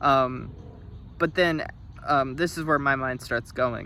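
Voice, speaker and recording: Speaking at a fairly slow pace, a man uses a fairly high pitch and a bright, sharp tone with fairly even intonation. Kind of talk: video essay reading. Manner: halting, with stops and stutters.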